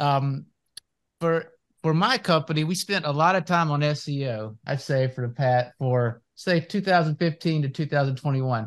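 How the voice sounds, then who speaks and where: A man talks in a plain, everyday voice at a fairly high pitch with ordinary pitch variation. The background is quiet. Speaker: podcast host. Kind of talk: casual interview.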